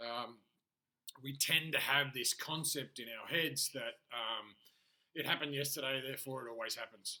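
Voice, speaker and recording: The tone is bright and sharp, with fairly even intonation and a moderate pace. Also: man, medium pitch for a man. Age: 40s. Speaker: life and business coach, aspiring poker player. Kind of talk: solo monologue video diary. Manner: can sound harsh and demanding.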